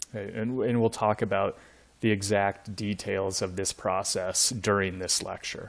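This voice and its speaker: A man talks at a moderate pace with a fairly low pitch and flat, monotone intonation. The recording is very clean, with a silent background. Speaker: university lecturer. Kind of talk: lecture. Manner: halting, many fillers.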